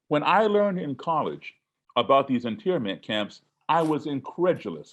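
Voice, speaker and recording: An ordinary speaking voice from a man, fairly high in pitch, with lively intonation. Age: 60s. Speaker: musician and race relations speaker. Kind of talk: webinar talk.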